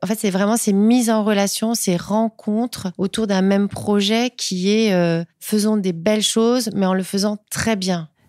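A woman's medium-pitched, normal speaking voice at a moderate pace, fairly even intonation and very even loudness on a very clean recording with a silent background. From Paris northern suburbs (Seine-Saint-Denis), Portuguese family. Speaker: entrepreneur, rug brand founder. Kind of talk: interview. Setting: pop-up store.

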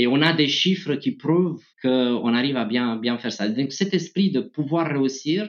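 Speaking at a fairly slow pace, a man with a Romanian accent moves through very wide pitch swings. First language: Romanian (speaking French). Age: 30s. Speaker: tech executive. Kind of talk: interview. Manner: halting.

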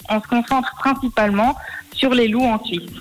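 The speaker talks at a fairly quick pace with ordinary pitch variation. Noticeable background noise runs under the voice. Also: woman. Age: 20s. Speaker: student and startup co-founder. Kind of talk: radio interview.

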